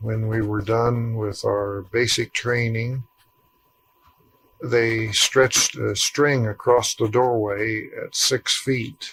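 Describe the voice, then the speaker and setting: A man speaks very slowly in a Midwestern US accent. His medium-pitched voice stays monotone, with flat intonation. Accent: US Midwest. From rural Ohio. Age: 60s. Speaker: war veteran. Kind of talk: oral history interview. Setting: at his home.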